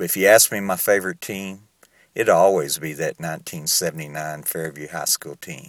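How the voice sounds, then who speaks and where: A fairly slow, fairly even delivery in a Southern US accent, with big swings in loudness, on a very clean recording with a silent background. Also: man, very deep, low pitch for a man. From US South. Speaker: author and podcaster. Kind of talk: casual podcast talk. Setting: recorded at home in Uganda. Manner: conversational, sincere.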